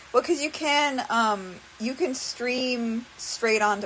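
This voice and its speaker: The intonation is lively while the pace stays fairly slow. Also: woman. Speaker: streamer, animator. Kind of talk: casual live stream chat. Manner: halting, many fillers.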